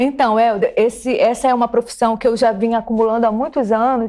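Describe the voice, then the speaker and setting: A woman's fairly high-pitched voice in monotone, flat intonation. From Pará, northern Brazil (Belém). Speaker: film curator and philosophy teacher. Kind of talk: TV interview. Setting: TV studio.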